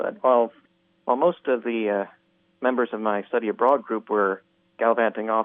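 A plain, everyday voice from a man with an American accent, medium in pitch, at a moderate pace. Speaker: radio caller. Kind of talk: casual chat. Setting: phone call.

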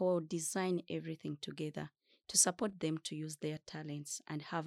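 A woman speaks in a very deep, low, flat monotone at a moderate pace. The recording is very clean and dry, close with no echo, and the background is silent. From Democratic Republic of Congo. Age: 20s. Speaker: refugee youth organizer. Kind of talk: panel discussion. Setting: conference. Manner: formal.

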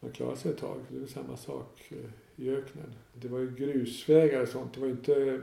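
Audible room echo surrounds a man speaking at a moderate pace. His loudness swings widely. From northern Dalarna, Sweden. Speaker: hostel owner. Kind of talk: interview. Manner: halting.

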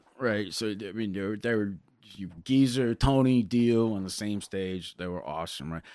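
In a very clean recording with a silent background, a man with an American accent and an unremarkable speaking voice talks at a moderate pace, his pitch fairly low with ordinary variation. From Connecticut, US. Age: 40s. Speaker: rock guitarist. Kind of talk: casual chat.

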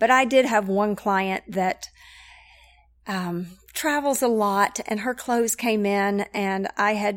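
A woman speaks at a medium pitch with ordinary pitch variation and an American accent, in a plain, everyday voice. The recording is very clean, with a silent background. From Knoxville, Tennessee (US South). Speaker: church connections director. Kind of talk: casual interview.

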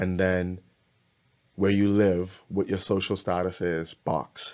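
A dark, mellow voice speaks in a monotone, flat intonation on a very clean recording with a silent background. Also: man. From Bahamas. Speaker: musician and songwriter. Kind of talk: casual interview.

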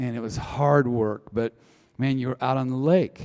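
A man's dark, mellow voice in a Midwestern American accent, at a moderate pace with ordinary pitch variation. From US Midwest, northern Iowa. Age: 60s. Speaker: church men's ministry leader. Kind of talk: sermon to a men's group. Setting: church gathering with live audience. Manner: conversational, with filler uh's.

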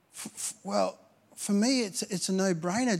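A voice with an Australian accent on a very clean recording with a silent background. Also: man. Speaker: pastor. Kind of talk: sermon. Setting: church. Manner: halting, repeats words.

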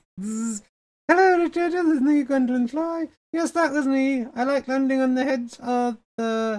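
Using a put-on character voice, a woman speaks in a high pitch at a moderate pace with hardly any pauses.

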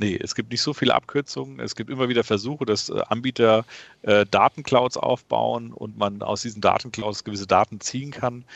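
An ordinary speaking voice from a man, medium in pitch, with ordinary pitch variation. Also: moderate pace. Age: 30s. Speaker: e-commerce company founder and CEO. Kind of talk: interview. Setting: remote call.

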